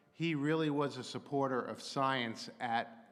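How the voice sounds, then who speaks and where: Fairly slow speech from a man with ordinary pitch variation, in audible room echo. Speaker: astrophysicist and technology consultant. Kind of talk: public lecture.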